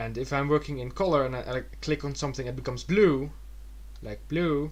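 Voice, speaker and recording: A man with a Dutch accent speaks amid audible room echo. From Netherlands. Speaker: digital illustrator. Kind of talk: tutorial. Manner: fast; halting.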